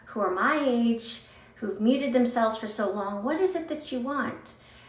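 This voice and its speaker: Noticeable background noise runs through the clip. At a moderate pace, a woman talks with a fairly high pitch and ordinary pitch variation. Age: 40s. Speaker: motivational speaker. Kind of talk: casual talk to camera.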